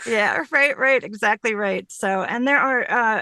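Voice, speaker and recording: Against a quiet background, a woman's bright, sharp voice carries lively intonation, and the sound is dry and close with no echo. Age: 50s. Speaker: professional voiceover artist. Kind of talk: conference presentation. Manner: fast.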